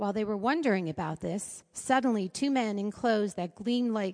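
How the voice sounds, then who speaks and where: This woman has a plain, everyday voice at a moderate pace. The background is quiet. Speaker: scripture reader. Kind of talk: reading aloud.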